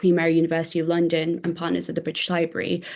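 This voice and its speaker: A woman with a fairly low pitch speaks against a quiet background. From northern England. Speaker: historian. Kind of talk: interview.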